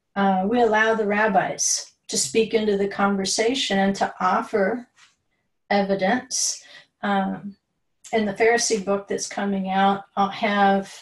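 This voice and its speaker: Somewhat breathy, a woman speaks at medium pitch and a fairly slow pace, her intonation monotone and flat. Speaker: Bible teacher. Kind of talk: lecture.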